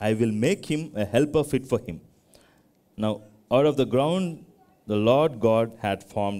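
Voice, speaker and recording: Here a man speaks at a fairly slow pace in a dark, mellow tone. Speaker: preacher. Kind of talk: scripture reading in a sermon. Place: church.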